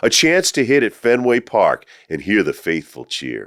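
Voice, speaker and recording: Fairly slow speech with a dry, close sound and no echo, on a very clean recording against a silent background. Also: man. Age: 60s. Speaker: stadium PA announcer. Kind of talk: poetry reading.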